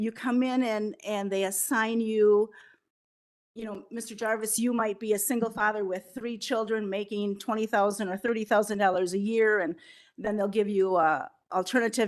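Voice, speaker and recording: A woman with an American accent has an ordinary speaking voice, fairly high in pitch, at a moderate pace. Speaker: prevention council representative. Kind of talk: public presentation at county board meeting.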